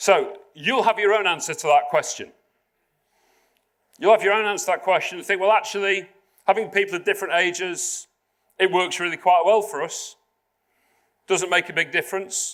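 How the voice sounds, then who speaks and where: Speaking at a fairly quick pace, a man with a high pitch and fairly even intonation leaves long, frequent pauses. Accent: Yorkshire. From South Yorkshire, England. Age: 50s. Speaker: public speaker. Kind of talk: keynote talk to corporate audience. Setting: stage with live audience at corporate venue.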